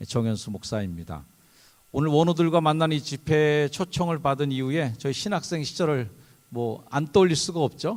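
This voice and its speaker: A man speaks at a moderate pace with lively intonation. The recording is very clean, and the background is silent. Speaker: pastor. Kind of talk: sermon. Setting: chapel service with audience.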